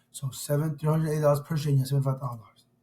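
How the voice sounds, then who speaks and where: This man's voice sits at a fairly high pitch. His tone is dark and mellow, and somewhat breathy. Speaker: student presenting assignment. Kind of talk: tutorial. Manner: casual, informal.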